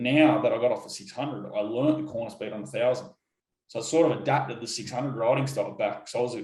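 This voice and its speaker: This man talks at a very fast pace with an Australian accent. His loudness swings widely, and the room echo is audible. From Australia, Sydney. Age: 30s. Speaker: motorcycle racer. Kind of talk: interview. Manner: halting.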